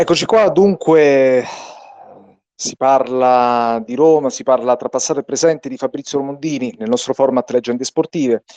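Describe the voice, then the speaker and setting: With a dark, mellow tone and ordinary pitch variation, a man talks at a moderate pace in a dry, close sound with no echo. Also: medium pitch for a man, big swings in loudness. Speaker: radio host. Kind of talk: radio sports show.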